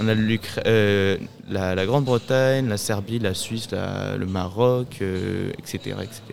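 A man speaks at a fairly low pitch and a very slow pace. His intonation stays fairly even over noticeable background noise. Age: young. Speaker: youth association volunteer. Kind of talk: interview. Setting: live event. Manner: halting.

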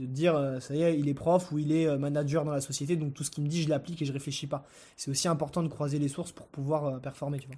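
A man's fairly high, somewhat breathy voice with a dark, mellow tone, very fast pace, monotone, flat intonation and big swings in loudness, on a very clean recording with a silent background. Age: 20s. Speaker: entrepreneur. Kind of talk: casual interview chat.

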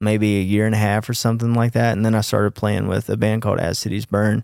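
A man with a Mississippi accent speaks at a fairly low pitch with fairly even intonation and a dark, mellow tone. The very clean recording has a silent background and a dry, close sound with no echo. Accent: Mississippi Southern US. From US South, Clinton near Jackson, Mississippi. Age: 30s. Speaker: touring guitarist. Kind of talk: casual chat.

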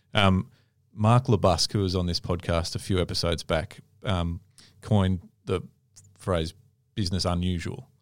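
A man with an Australian accent speaks at a moderate pace in a very deep, low pitch, his fairly even intonation broken by long, frequent pauses, on a very clean recording with a silent background. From Melbourne, Australia. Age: 30s. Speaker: podcast host. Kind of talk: casual chat.

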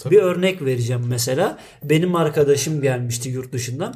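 Lively intonation carries the speech at a moderate pace, with noticeable background noise behind it. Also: man. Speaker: podcast co-host. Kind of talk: casual chat.

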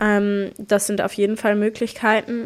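A woman talks at a fairly slow pace. Her intonation stays flat and monotone. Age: 20s. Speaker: climate activist and student. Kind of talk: casual interview.

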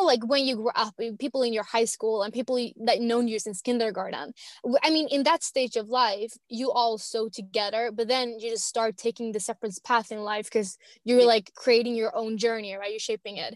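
Speaking with a Swedish accent, a woman talks at a fairly quick pace in a fairly high pitch with an animated tone. The sound is dry and close with no echo. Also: ordinary pitch variation. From Finland, Swedish-speaking small town. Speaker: traveler and blogger. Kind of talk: casual interview chat. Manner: fast.

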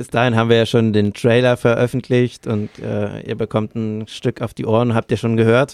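A man with a medium pitch talks at a moderate pace, barely pausing, in a flat monotone. The recording is very clean with a silent background and a dry, close sound with no echo. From Bavaria, Lower Franconia. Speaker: podcast co-host. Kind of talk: casual chat.

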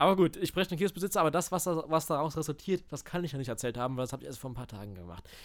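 A man talks very fast with lively intonation, vocal fry and big swings in loudness. The recording is very clean, with a silent background. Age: 20s. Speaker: podcast co-host and amateur voice actor. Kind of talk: casual chat.

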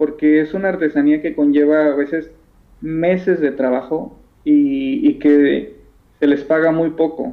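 The man talks fairly slowly, his voice fairly high in pitch. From Mexico (Isthmus of Tehuantepec, Oaxaca). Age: young. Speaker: textile dyer and artisan. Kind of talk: interview. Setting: phone call.

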